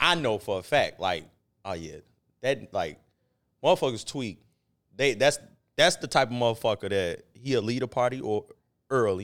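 A man speaks with a medium pitch. The recording is very clean, with a silent background. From Chicago. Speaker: podcast co-host. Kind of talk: casual chat.

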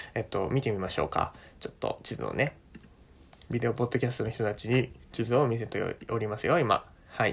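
Relaxed in tone, a man talks at a fairly quick pace and sounds somewhat breathy. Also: medium pitch for a man, fairly even intonation. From Japan. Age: 20s. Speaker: podcast host, university student. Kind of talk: casual monologue for language learners. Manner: relaxed, many fillers.

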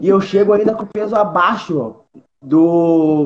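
Here a man talks at a fairly slow pace. His pitch is high. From southern Brazil, Porto Alegre. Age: 20s. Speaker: MMA fighter. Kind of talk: casual chat.

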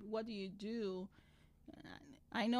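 This woman speaks with a Nigerian accent. Her pace is moderate. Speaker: podcast guest, immigrant mother. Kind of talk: casual chat.

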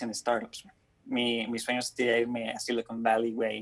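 Speaking at a moderate pace, this man has a pitch in the middle range. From Mexico, raised partly in Honduras and the US. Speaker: student and content creator. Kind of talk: casual chat.

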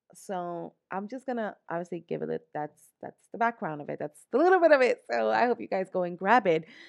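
Talking fairly quickly with a New York accent, a woman at a medium pitch sounds animated, with very wide pitch swings and hardly any pauses, in a dry, close sound with no echo against a quiet background. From New York, the Bronx. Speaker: podcast host. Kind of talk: motivational monologue.

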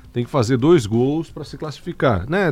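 A man with a Florianópolis accent, medium pitch and lively intonation against a quiet background. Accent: manezinho (Florianópolis area). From Santa Catarina, Brazil (Alfredo Wagner). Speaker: sports radio host. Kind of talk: casual sports talk. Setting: radio studio, live.

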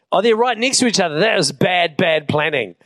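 Here a man speaks with a New Zealand accent. He goes at a very fast pace with lively intonation. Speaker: pastor. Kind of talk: sermon. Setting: church.

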